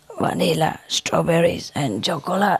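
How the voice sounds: This put-on character voice sits at a middle pitch and sounds raspy and hoarse. The delivery moves at a moderate pace.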